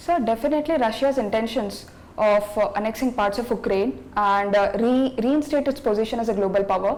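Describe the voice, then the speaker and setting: Speaking at a fairly quick pace, a woman uses a fairly high pitch with ordinary pitch variation. Noticeable background noise is present. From India, Telangana. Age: 20s. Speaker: civil services candidate. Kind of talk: mock job interview. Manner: fast; formal.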